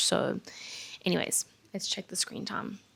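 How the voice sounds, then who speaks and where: A woman talks at a fairly quick pace with vocal fry. The recording is very clean, with a silent background. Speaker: vlogger. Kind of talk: casual vlog talk. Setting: in bed at home.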